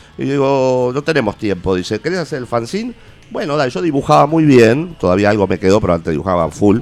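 A very fast male voice with very wide pitch swings. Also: medium pitch for a man. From Argentina. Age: 50s. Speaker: punk rock musician. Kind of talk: radio interview. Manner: halting.

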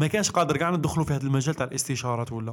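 This man's voice is somewhat breathy, and his pitch moves up and down in an ordinary way. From Algeria. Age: 30s. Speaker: entrepreneur and content creator. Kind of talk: casual chat.

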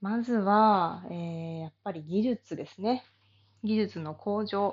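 A woman's voice sits at a medium pitch with a relaxed tone. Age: 30s. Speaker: body therapy salon owner. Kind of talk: casual monologue.

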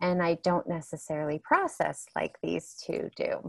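Recorded dry and close with no echo, a woman speaks at a fairly slow pace against a quiet background. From Northern California. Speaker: podcast co-host. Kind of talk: casual chat.

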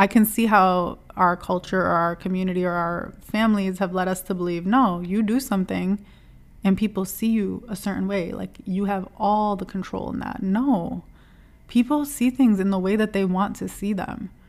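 In a plain, everyday voice, a woman talks at a moderate pace and medium pitch with fairly even intonation. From US Midwest (Dearborn, Michigan; Lebanese-American). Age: 30s. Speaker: podcast host. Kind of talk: casual solo monologue.

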